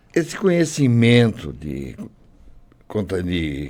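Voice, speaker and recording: A man's dark, mellow tone carries vocal fry. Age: 80s+. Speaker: retired programmer and logistics worker, care home resident. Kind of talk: interview.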